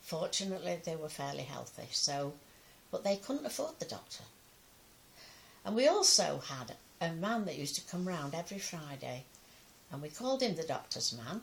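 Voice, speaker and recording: Over noticeable background noise, a woman talks at a moderate pace and a fairly low pitch, with very wide pitch swings and long, frequent pauses. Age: 90s. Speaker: pensioner sharing memories. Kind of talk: personal testimony. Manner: halting.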